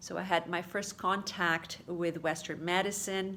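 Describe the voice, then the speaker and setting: A woman speaks with a Portuguese accent at a fairly slow pace. Her pitch is fairly low. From Brazil. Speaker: holistic therapy practitioner. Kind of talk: casual video talk to followers. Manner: halting, many fillers.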